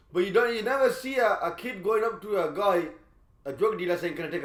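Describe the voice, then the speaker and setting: A man's high voice, animated in tone and very fast. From Birmingham, England. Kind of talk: casual chat.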